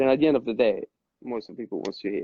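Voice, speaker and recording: A man speaks with a French accent. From Corsica, France. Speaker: club DJ. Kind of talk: casual chat. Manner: halting, many repetitions.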